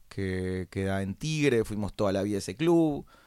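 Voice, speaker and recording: Speaking in a Rioplatense accent, a man keeps a fairly slow pace and lively intonation. The recording is very clean, with a silent background. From Argentina, Buenos Aires. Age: 30s. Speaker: entrepreneur. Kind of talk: interview.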